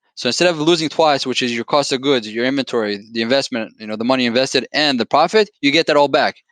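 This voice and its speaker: A man with a non-native accent talks at a very fast pace, with hardly any pauses. His pitch is medium with ordinary variation, and the sound is dry and close with no echo. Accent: foreign accent, noticeable. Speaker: company founder and executive. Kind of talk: podcast interview. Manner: animated.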